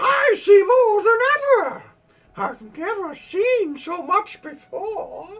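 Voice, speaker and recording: A put-on character voice shouts at an extremely high pitch. It moves very slowly, with very wide pitch swings. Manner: creepy, unsettling.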